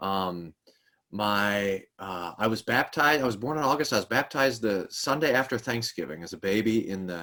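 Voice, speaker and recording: Speaking with an American accent, a man has a normal speaking voice at fairly low pitch. He keeps a moderate pace with lively intonation. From Texas, Kerrville. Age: 40s. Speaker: pastor. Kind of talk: interview conversation.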